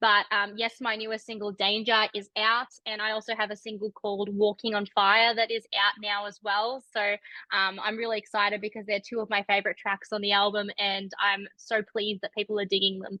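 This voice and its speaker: A woman with an Australian accent talks at a fairly quick pace with hardly any pauses, her medium-pitched voice monotone and flat. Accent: mild Australian. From Australia, Melbourne. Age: 20s. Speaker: rock musician. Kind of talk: interview. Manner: many fillers and restarts.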